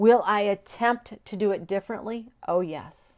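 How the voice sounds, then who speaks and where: A woman with an unremarkable speaking voice at a medium pitch, with ordinary pitch variation, on a very clean recording with a silent background. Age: 50s. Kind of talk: devotional monologue.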